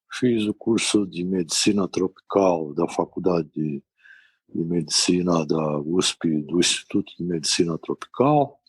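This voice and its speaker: Calm in tone, a man with a very deep, low voice speaks at a fairly slow pace, recorded dry and close with no echo. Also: ordinary pitch variation. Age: 60s. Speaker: physician, infectious disease specialist. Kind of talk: interview.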